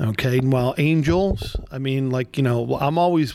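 This man has an unremarkable speaking voice. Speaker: state legislator podcast host. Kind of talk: casual interview chat. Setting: studio.

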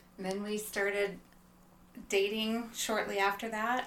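A woman speaks at a fairly slow pace with a medium pitch. Audible room echo surrounds her voice. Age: 40s. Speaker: guest sharing marriage experience. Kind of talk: casual chat.

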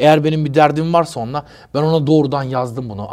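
This is a normal speaking voice with ordinary pitch variation. The pace is fairly quick. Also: man. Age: 50s. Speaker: rapper. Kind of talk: interview.

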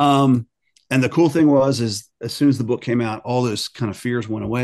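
An unremarkable speaking voice with an American accent, fairly quick pace and fairly even intonation. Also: man. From Maryland, US. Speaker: author. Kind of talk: interview.

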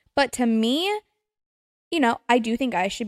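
In a dry, close recording with no echo, a woman with a fairly high pitch sounds animated, her intonation lively. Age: 20s. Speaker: podcast host. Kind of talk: solo casual rant.

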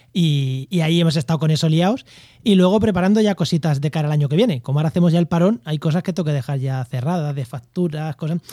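A man with a Spanish accent talks very fast at a fairly high pitch with ordinary pitch variation. His tone is dark and mellow, and the sound is dry and close with no echo. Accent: Peninsular Spanish. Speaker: podcast host. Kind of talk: casual chat.

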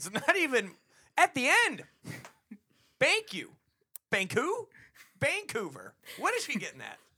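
A man's raised, projected voice at an extremely high pitch, with very wide pitch swings, big swings in loudness, and long, frequent pauses. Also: fairly slow pace. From Texas, later Florida. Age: 20s. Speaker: comedy podcast co-host. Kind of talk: casual chat.

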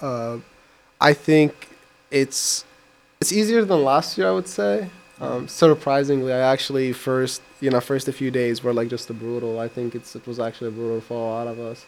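A man's medium-pitched voice with ordinary pitch variation at a moderate pace, over noticeable background noise. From Iraq. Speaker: college student. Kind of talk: radio interview.

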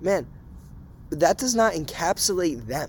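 A speaker with an American accent talks at a moderate pace. The intonation is lively. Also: man. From Massachusetts. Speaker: college student podcast host. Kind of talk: casual chat. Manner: animated.

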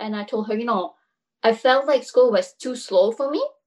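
A woman with a Quebec accent, high-pitched, at a fairly quick pace. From Montreal, Quebec. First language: French. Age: 20s. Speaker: hairstylist and salon owner. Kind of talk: casual chat.

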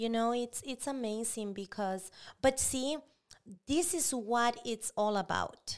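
A woman with a fairly high pitch talks at a very slow pace. The recording is very clean, with a silent background. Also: ordinary pitch variation. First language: Spanish. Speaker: pastor. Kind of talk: casual chat.

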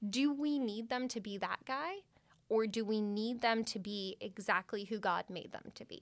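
Moderate in pace, a woman speaks with a Californian accent. Her pitch is fairly high, with ordinary variation. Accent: Californian American. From Redwood City, California. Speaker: school director of mission and ministry, co-host. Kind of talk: casual chat.

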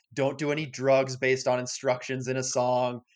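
A man with an American accent, medium pitch and a normal speaking voice, at a fairly quick pace against a quiet background. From US Midwest, rural area. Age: 30s. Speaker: podcast co-host. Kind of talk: casual chat.

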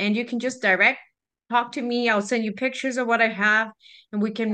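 A woman speaks in a bright, sharp tone with a Spanish accent. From Mexico (Guadalajara). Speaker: small business owner. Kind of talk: interview. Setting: video call.

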